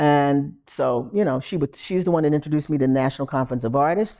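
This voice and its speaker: With an American accent, a woman talks at a fairly quick pace in a very deep, low pitch and a dark, mellow tone, the sound dry and close with no echo against a quiet background. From US Northeast, Philadelphia. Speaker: artist and arts administrator. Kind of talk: oral history interview.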